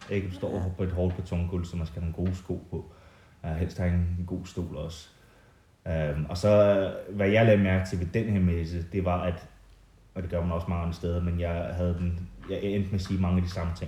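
A man with an English accent, very deep and low in pitch, dark and mellow, somewhat breathy, monotone and flat at a moderate pace, with audible room echo. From England, moved to Denmark at 11. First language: English (speaking Danish). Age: 30s. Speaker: artist. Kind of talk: casual interview. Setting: at the guest's home in the countryside.

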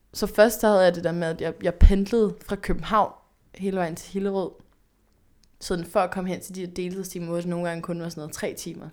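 Against a silent background in a very clean recording, a woman of medium pitch speaks at a fairly quick pace in a flat monotone, her loudness swinging widely. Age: 20s. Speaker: podcast host. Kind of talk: casual chat.

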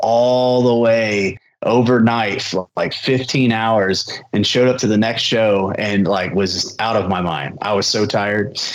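At a fairly slow pace, a man with a normal speaking voice talks at medium pitch with ordinary pitch variation. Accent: American. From Indiana, US Midwest. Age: 30s. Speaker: pro wrestler. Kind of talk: interview. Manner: casual, filler-heavy (um, uh).

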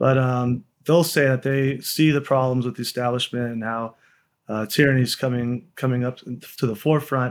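Monotone, flat intonation at a moderate pace on a very clean recording with a silent background. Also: man, medium pitch for a man. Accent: Texan. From Texas, Austin. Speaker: lawyer and political activist. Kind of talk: interview.

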